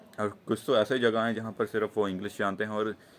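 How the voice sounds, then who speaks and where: At a moderate pace, a man with a fairly low pitch speaks in a fairly even tone. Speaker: vlogger. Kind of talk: casual chat. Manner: halting, many fillers and restarts.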